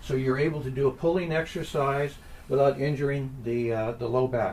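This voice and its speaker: Noticeable background noise sits behind this recording. A man speaks at a moderate pace with a fairly high pitch. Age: 70s. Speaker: exercise and back pain instructor. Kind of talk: tutorial. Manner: calm, instructional pacing with breathing cues.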